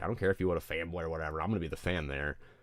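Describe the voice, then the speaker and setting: A man with an American accent and fairly even intonation, on a very clean recording with a silent background. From Detroit area, Michigan. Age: 20s. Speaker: streamer and musician. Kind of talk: casual livestream chat.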